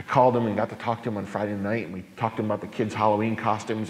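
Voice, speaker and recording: A man's normal speaking voice, fairly low in pitch. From New York. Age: 40s. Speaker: pastor. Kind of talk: public talk. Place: church. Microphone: handheld.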